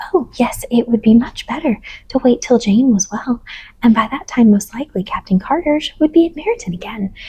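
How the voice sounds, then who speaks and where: Soft-spoken and fairly high-pitched, a woman talks at a moderate pace with lively intonation. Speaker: audiobook reader. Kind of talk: sleep story reading.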